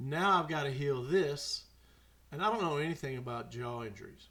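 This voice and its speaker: There is audible room echo as a man talks at a fairly quick pace in a bright, sharp tone. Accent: Mississippi. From Mississippi. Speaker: podcast host. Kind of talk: storytelling monologue. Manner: animated.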